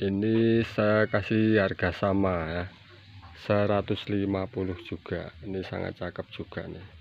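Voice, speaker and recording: A man, fairly low-pitched and very slow, monotone and flat, dry with no echo, over light background noise. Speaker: plant seller. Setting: filming at home garden, showing plants to camera. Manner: repeats prices and phrases twice for emphasis. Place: garden. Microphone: phone near.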